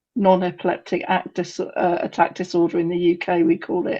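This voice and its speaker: With an English accent, a woman speaks at a medium pitch against a quiet background. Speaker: parent of a patient, webinar attendee. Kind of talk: Q&A question at a webinar. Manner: halting, many fillers.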